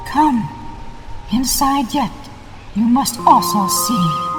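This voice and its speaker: Clear music plays in the background behind a put-on character voice. It is fairly high in pitch and delivered at a very slow pace. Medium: machinima. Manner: calm, measured.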